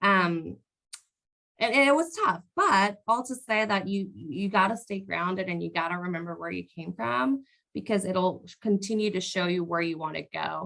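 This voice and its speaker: A woman's bright, sharp voice at medium pitch, moderate pace and ordinary pitch variation. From Ciudad Juarez, Mexico, then El Paso. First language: Spanish. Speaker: business professional panelist. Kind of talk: panel discussion.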